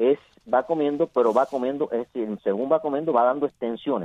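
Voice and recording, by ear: A man talks at a fairly quick pace, with a dry, close sound and no echo. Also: medium pitch for a man, ordinary pitch variation.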